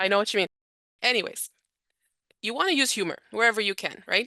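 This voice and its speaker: Bright and sharp in tone, a woman with a Canadian accent speaks with ordinary pitch variation, the sound dry and close with no echo. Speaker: charity director and trainer. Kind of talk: training presentation. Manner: fast.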